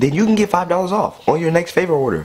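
Light background noise is present. The speaker is a man. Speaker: gaming youtuber. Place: home room.

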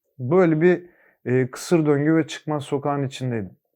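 A man talks at a fairly slow pace, and his pitch varies in an ordinary way. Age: 20s. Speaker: recovering addict. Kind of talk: testimony. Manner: hesitant, many filler sounds.

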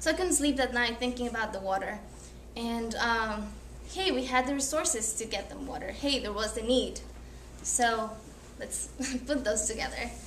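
A woman speaks at a moderate pace with a fairly high pitch and ordinary pitch variation. Her long, frequent pauses fall over light background noise and audible room echo. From Ecuador. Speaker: college student; presenter. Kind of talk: class presentation. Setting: classroom. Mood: earnest, reflective. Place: classroom. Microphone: camera far.

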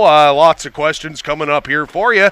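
A man's bright, sharp tone comes through at a medium tempo. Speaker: sports play-by-play broadcaster and podcast host. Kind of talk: casual interview. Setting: studio.

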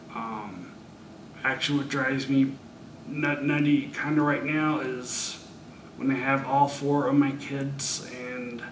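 With audible room echo and light background noise, a man speaks in a monotone with flat intonation. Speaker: brain injury survivor. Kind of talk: interview answer. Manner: halting, pausing. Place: studio.

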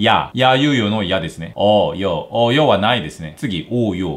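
A man at a moderate pace, his pitch making very wide swings. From South Korea. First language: Korean (speaking Japanese). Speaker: language teacher YouTuber. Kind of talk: tutorial. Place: home room.

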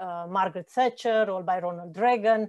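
Against a quiet background, a woman speaks with fairly even intonation and a dark, mellow tone. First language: not Spanish (speaking Spanish). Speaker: economics professor. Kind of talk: lecture. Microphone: video call.

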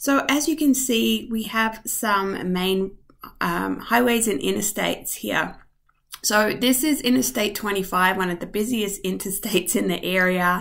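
A woman's lively intonation at a fairly slow pace, over a quiet background. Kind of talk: tutorial. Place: home room. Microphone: webcam.

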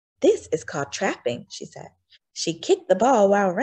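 A natural reading voice is heard, and the background stays quiet.

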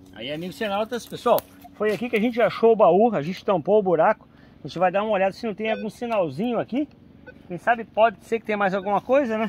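A man's high-pitched voice at a very fast pace, with ordinary pitch variation, light background noise and a dry sound with no echo. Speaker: treasure hunter vlogger. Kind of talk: casual vlog chat. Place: forest. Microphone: phone near.

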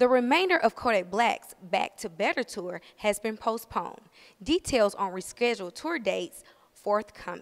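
A woman with a slight Southern US accent speaks at a fairly high pitch and a moderate pace, her intonation lively. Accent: slight Southern twang. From US South, Huntsville, Alabama. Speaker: entertainment news presenter auditioning. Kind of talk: news reading. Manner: animated.

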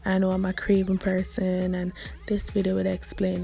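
The speaker has a strong Jamaican accent and talks at a moderate pace. Music plays in the background. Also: woman. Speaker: vlogger. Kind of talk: casual vlog talk to camera.

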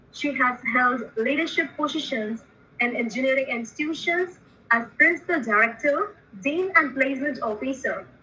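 In a raised, projected voice, the speaker goes at a moderate pace with ordinary pitch variation. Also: woman, high pitch for a woman. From India. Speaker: student event emcee. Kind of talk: formal introduction. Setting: video call. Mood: formal, welcoming. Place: home room. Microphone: webcam.

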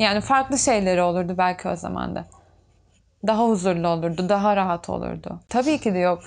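A woman talks at a moderate pace, and the background stays quiet. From Turkey, Çanakkale (Bayramiç); Turkey. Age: 20s. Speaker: tailor; interviewee. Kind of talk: documentary interview. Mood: reflective, somewhat emotional. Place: workshop.

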